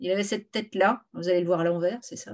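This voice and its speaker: A woman is speaking. Her pace is moderate. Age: 50s. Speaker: novelist. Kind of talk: author interview.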